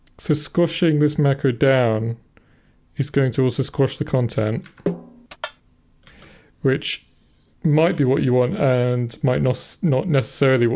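Music plays in the background. The speech comes at a fairly slow pace with long, frequent pauses. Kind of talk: casual dev-log commentary.

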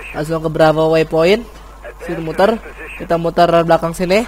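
This man's voice sits fairly high and stays monotone and flat. Noticeable noise runs in the background. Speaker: squad leader in online military game. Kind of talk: casual gameplay commentary with team callouts. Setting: voice chat while gaming.

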